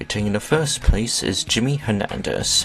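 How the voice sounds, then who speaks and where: Music playing behind a man's moderately paced speech. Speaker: gaming video narrator. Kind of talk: video game ranking commentary. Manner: halting, many fillers and repetitions.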